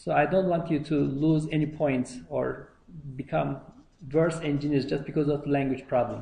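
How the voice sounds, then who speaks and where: A man's fairly high, somewhat breathy voice with a dark, mellow tone and a non-native accent, fairly even intonation at a moderate pace, with audible room echo. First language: not English. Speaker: university lecturer. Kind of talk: lecture. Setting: lecture hall. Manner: halting, many fillers.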